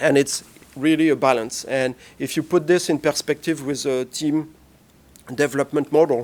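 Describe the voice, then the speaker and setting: Fairly even in intonation, a man's fairly high-pitched voice moves at a moderate pace. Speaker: panelist on team science, former lab researcher. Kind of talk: panel presentation. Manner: halting, many fillers.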